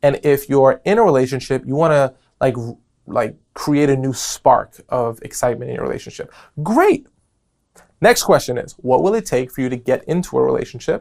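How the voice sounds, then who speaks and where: Here is a man with an animated tone. He moves at a moderate pace. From New York. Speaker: podcast host. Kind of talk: casual podcast monologue.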